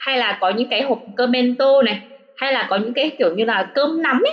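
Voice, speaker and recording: Ordinary pitch variation in a woman's high voice. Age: 30s. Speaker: former study-abroad student in Japan. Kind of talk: casual interview chat. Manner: hesitant, many fillers.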